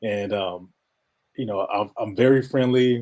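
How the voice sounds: Speaking at a fairly slow pace, a man has a fairly low, slightly mellow voice that sounds nasal. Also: ordinary pitch variation.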